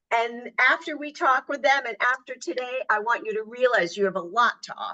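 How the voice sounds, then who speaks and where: At a fairly quick pace, a woman talks in a high pitch with a bright, sharp tone. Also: lively intonation. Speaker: career coach. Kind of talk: webinar presentation. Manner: projecting.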